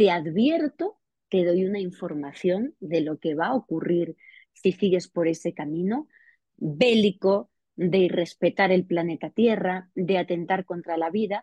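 In a normal speaking voice, a woman talks at a fairly slow pace with a medium pitch and ordinary pitch variation. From Spain, Extremadura. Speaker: investigative journalist and author. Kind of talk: interview.

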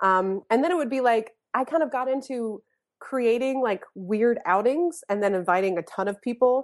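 A normal speaking voice from a woman with an American accent, fairly high in pitch, lively in intonation, at a moderate pace against a quiet background. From US South, North Carolina. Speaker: therapist turned comedy writer. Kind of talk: casual chat.

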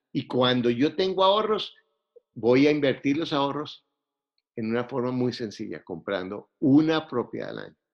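A man's medium-pitched voice with lively intonation, big swings in loudness and a moderate pace. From Colombia, Bogotá. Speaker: real estate investor. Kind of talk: interview.

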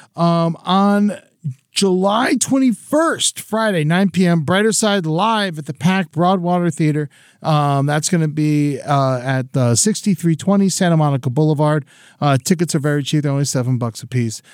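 With an American accent and a normal speaking voice, a man talks at a moderate pace with a fairly high pitch. His intonation is lively, and the sound is dry and close with no echo. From Florida. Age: 40s. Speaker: comedian. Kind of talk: casual chat.

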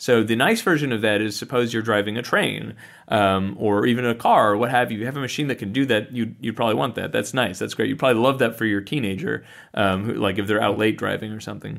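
Recorded very cleanly against a silent background, a man with vocal fry talks at a very fast pace in a medium pitch with fairly even intonation. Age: 30s. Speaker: author. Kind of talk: interview. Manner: halting.

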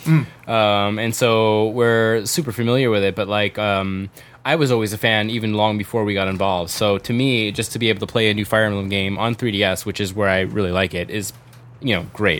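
Here a man speaks in an ordinary speaking voice, pitched fairly low. His pace is fairly quick and his intonation fairly even. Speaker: game industry localizer. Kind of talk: casual chat.

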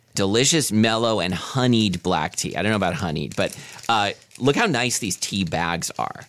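A man's lively intonation at a moderate pace against noticeable background noise. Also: fairly low pitch for a man. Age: 40s. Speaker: podcast co-host. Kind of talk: casual chat.

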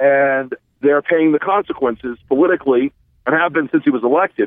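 In an American accent, a man speaks at a fairly quick pace. His pitch is fairly high, and it is an ordinary speaking voice. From US South. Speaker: former Republican political operative. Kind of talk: casual interview conversation.

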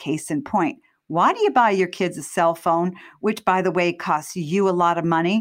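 On a very clean recording with a silent background, a woman with a medium pitch and a normal speaking voice talks at a fairly slow pace. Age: 60s. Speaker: parenting podcast host, doctor. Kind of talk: interview.

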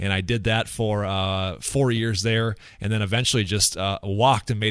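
A man with an American accent speaks at a moderate pace in a fairly low pitch with fairly even intonation, an unremarkable speaking voice. The recording is very clean, with a silent background. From US Midwest, west central Minnesota. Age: 30s. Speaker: former TV weatherman turned financial planner. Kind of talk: interview conversation.

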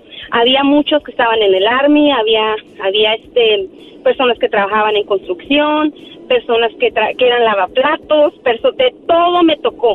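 A fairly slow pace with very even loudness. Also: woman, high pitch for a woman, lively intonation. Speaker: caller. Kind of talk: personal testimony on call-in show. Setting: phone call.

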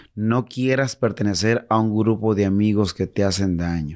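Recorded very cleanly against a silent background, a man uses an ordinary speaking voice with fairly even intonation. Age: 40s. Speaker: singer. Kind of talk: casual chat.

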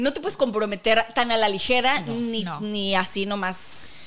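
A woman uses an ordinary speaking voice, fairly high in pitch, at a moderate pace. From northern Mexico. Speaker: podcast co-host. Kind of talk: casual chat.

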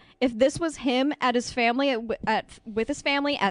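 Her intonation lively, a woman with a high pitch speaks at a fairly slow pace. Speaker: YouTuber guest. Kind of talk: casual chat. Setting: studio.

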